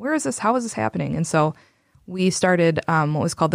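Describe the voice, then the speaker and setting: A woman speaks very fast in a very deep, low voice with vocal fry and lively intonation, on a very clean recording with a silent background. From South Dakota. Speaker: community organizer. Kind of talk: casual interview chat.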